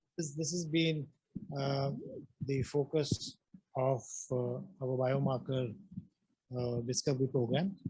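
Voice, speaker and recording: Soft-spoken and somewhat breathy, a man talks at a fairly slow pace with long, frequent pauses. His fairly high pitch has a dark, mellow tone and ordinary variation. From India, Punjab. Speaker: neuroscience professor. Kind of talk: lecture. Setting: lecture hall with online audience. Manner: halting, many fillers.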